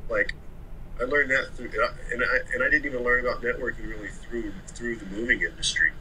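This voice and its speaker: Over light background noise, a man with an American accent talks at a fairly quick pace. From Oklahoma City. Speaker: moving company owner, former Marine. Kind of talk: casual interview chat. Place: home room. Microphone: video call.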